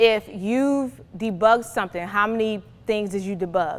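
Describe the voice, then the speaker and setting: A woman's fairly high voice shows ordinary variation in pitch. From New Jersey. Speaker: recruiter and career workshop presenter. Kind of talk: workshop presentation. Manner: fast.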